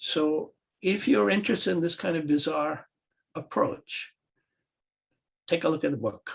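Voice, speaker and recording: A man speaks at a moderate pace with long, frequent pauses and vocal fry. His fairly high voice swings very widely in pitch. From Pakistan. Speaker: economist. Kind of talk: panel talk.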